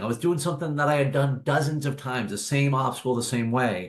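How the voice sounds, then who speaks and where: Somewhat breathy and fairly high-pitched, a man talks at a fairly quick pace with ordinary pitch variation. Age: 40s. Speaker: author and obstacle course racer. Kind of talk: podcast interview.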